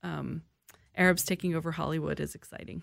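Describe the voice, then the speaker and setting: The background is silent and the recording very clean. A woman talks. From US, moved around. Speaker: arts organization director. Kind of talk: radio interview.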